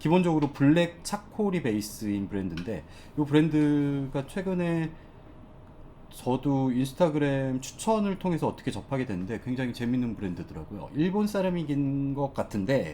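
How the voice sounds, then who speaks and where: This man has a fairly high pitch and a dark, mellow tone. He moves at a moderate pace with very wide pitch swings. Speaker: fashion brand consultant, YouTuber. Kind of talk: tutorial. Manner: casual, hesitant with fillers.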